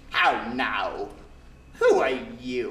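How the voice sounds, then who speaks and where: A man's put-on character voice against clear background noise. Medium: read story.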